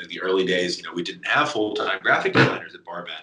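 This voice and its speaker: There's clearly audible noise in the background. Over it, a man talks with an American accent. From US South, Kentucky. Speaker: media company founder and voice actor. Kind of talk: interview.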